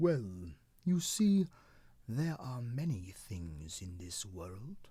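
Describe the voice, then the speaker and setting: Using a put-on character voice with a gentle tone, the speaker goes at a very slow pace. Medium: read story. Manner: gentle, matter-of-fact.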